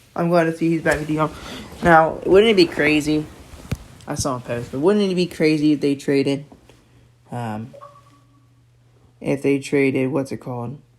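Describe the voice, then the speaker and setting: Over noticeable background noise, a man with a fairly high pitch and ordinary pitch variation talks at a moderate pace with long, frequent pauses. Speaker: podcast host. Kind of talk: casual solo podcast monologue. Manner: halting, many fillers.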